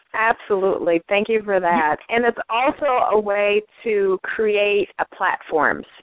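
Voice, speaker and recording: With an American accent and a normal speaking voice, a woman speaks at a fairly slow pace and medium pitch, with ordinary pitch variation and very even loudness. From US Midwest (St. Paul, Minnesota). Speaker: talk show host and coach. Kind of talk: interview, casual chat.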